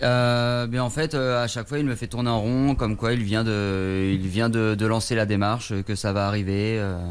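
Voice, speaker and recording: A man talks at a medium pitch and moderate pace. His intonation is fairly even, and noticeable background noise is present. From southwest France. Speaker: caller. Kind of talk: phone-in testimony. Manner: halting.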